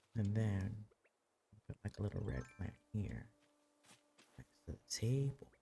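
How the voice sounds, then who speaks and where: The speaker is soft-spoken and talks at a fairly slow pace. Long pauses come often. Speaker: streamer. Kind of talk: casual gameplay commentary. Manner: soft-spoken, quiet.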